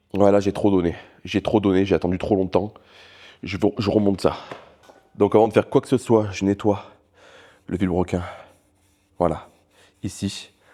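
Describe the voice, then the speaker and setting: A man's fairly low, dark, mellow voice in a monotone, flat intonation at a moderate pace, broken by long, frequent pauses. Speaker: car mechanic YouTuber. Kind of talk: casual vlog narration while working on a car.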